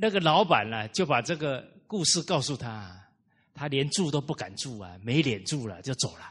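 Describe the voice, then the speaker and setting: Against a quiet background, a man speaks at a moderate pace with a fairly high pitch and vocal fry. His pitch swings very widely, and his loudness rises and falls sharply. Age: 30s. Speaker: Buddhist-style moral lecturer. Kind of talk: lecture. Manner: frequent filler particles.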